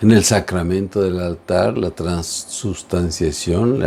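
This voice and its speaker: This man speaks very slowly. His pitch is very deep and low. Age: 70s. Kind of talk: religious teaching talk.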